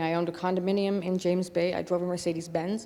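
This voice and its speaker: A woman with a fairly low voice. She talks at a very fast clip. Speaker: recovering alcoholic giving church testimony. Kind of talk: testimony. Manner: halting, many fillers.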